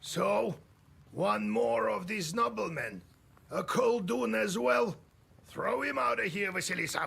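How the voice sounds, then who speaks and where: A man puts on a gruff character voice, pitched high. He speaks at a fairly slow pace with long, frequent pauses. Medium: video game. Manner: gruff, rude.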